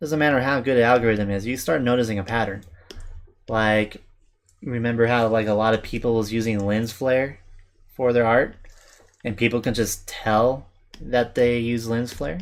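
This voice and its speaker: The speech is mumbled at a moderate pace, with fairly even intonation and long, frequent pauses. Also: man, medium pitch for a man. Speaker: artist streamer. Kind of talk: casual live stream chat while drawing. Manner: mumbling.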